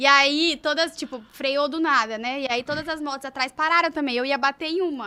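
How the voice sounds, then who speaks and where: A raised, projected voice with a bright, sharp tone at a moderate pace, in a very clean recording with a silent background. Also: woman. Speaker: podcast co-host interviewing a surgeon. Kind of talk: casual chat. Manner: animated.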